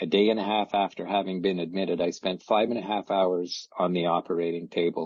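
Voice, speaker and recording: Monotone, flat intonation at a fairly quick pace. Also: man. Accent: Canadian. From Canada (Ottawa, Ontario). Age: 70s. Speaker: testimonial speaker. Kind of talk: testimony. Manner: halting, many fillers.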